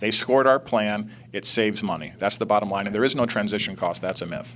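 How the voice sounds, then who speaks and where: The speaker is a man talking at a very fast pace. Ordinary variation shows in his pitch. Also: fairly low pitch for a man. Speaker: think tank CEO. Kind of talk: political TV interview debate.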